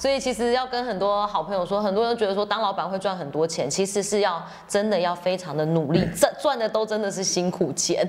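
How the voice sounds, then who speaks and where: An animated woman at medium pitch, talking very fast with hardly any pauses, ordinary pitch variation, and noticeable background noise. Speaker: podcast host. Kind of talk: casual interview. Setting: fitness studio.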